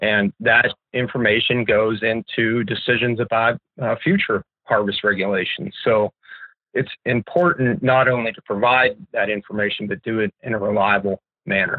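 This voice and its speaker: Using an unremarkable speaking voice, a man with an American accent talks at a moderate pace and medium pitch. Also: ordinary pitch variation. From Pennsylvania, US. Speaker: wildlife ecology professor. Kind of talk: educational interview.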